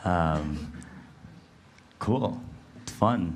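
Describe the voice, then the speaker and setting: A man speaks with a very deep, low pitch and ordinary pitch variation. Room echo can be heard. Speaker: crypto researcher. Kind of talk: panel discussion. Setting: stage with audience.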